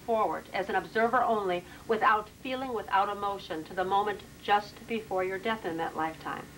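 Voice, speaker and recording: Noticeable background noise runs under this recording. A woman speaks at a fairly high pitch. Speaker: past life regression therapist. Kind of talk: explanatory interview with client. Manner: loud.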